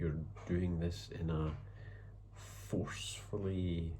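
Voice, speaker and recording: A man's voice comes through very deep and low in pitch, somewhat breathy. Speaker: writer. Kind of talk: casual talk to camera. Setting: home, background noise. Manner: hesitant, thoughtful.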